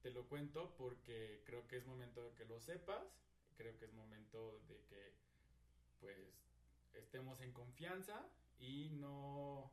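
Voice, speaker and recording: Audible room echo surrounds a man speaking at a very slow pace. His pitch variation is ordinary. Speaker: podcast co-host. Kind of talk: casual chat.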